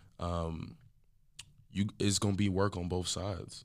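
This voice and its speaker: A man with an American accent speaks in a very deep, low voice, flat and monotone. The recording is very clean, with a silent background. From Texas, Dallas area. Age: 20s. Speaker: business owner and podcast co-host. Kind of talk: casual chat.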